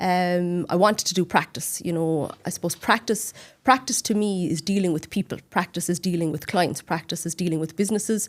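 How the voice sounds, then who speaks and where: A woman in a Cork accent, fairly low-pitched, with ordinary pitch variation, a fairly quick pace and hardly any pauses. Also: very clean recording, silent background. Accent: Cork accent, stands out. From Ireland, Cork. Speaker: accountant and regional manager. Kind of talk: podcast interview. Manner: hesitant fillers and repetitions.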